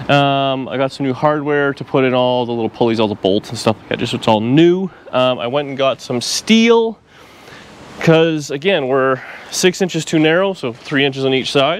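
Recorded dry with no echo, a man talks at a moderate pace with big swings in loudness. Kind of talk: casual vlog chat. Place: street. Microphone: phone near.

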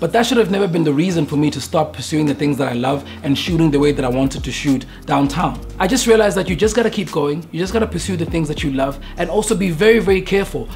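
Faint music plays behind a man who talks at a very fast pace with hardly any pauses. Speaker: photographer vlogger. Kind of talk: casual vlog chat. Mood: earnest, reflective. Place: studio.

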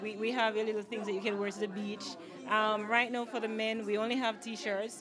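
Over noticeable background noise, a woman with a Jamaican accent speaks very fast with fairly even intonation. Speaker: clothing line owner and designer. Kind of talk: media interview; promotional plug. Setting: product launch event. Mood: pleased, friendly. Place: shop. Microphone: handheld.

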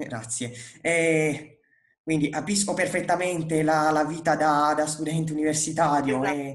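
A man with a fairly high pitch speaks fairly slowly and with fairly even intonation. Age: 20s. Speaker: music interviewer. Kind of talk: interview. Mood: friendly, relaxed. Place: home room. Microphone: earbuds.

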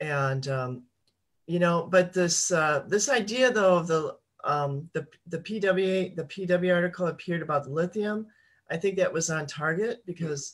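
Ordinary pitch movement and a moderate speed from an ordinary speaking voice. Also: woman, fairly low pitch for a woman. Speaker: political activist panelist. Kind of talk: casual political discussion. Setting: video call.

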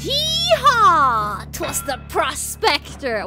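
A woman performs a put-on character voice with clear music in the background. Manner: theatrical voice acting.

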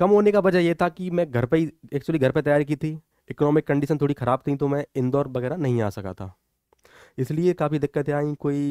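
A man with a fairly high pitch talks at a fairly quick pace in a dark, mellow tone, with ordinary pitch variation and a dry sound with no echo against a quiet background. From Morena district, Chambal region, Madhya Pradesh, India; Madhya Pradesh. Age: 20s. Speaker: police officer, exam topper. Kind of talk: motivational talk and exam guidance. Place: studio. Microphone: headset.

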